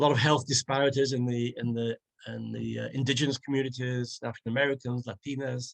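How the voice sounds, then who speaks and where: A very fast, monotone male voice at medium pitch, dry and close with no echo. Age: 70s. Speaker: HIV nurse and advocate. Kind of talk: interview.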